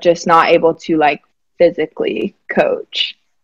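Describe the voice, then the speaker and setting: A woman speaks at a fairly slow pace with an American accent and a fairly low pitch. The sound is dry and close with no echo, over a quiet background. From Alabama, US South. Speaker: basketball staff member, former college player. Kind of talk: radio interview.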